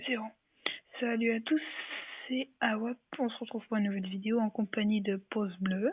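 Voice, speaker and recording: Soft-spoken and fairly high, a woman's voice moves at a moderate pace with fairly even intonation and long, frequent pauses. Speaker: gaming youtuber. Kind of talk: gameplay commentary. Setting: at home. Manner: speaking softly.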